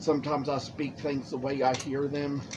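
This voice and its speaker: There is audible room echo as a man with a fairly high pitch speaks at a fairly slow pace. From Lexington, Kentucky. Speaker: woodcarver. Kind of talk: casual chat. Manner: stretched vowels.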